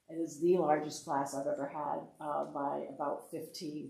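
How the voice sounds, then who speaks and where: A woman speaks with a dark, mellow tone and fairly even intonation. Audible room echo surrounds her voice. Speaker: education association director, former superintendent. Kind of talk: workshop presentation. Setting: board meeting room, in person. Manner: fast; many fillers (uh, um).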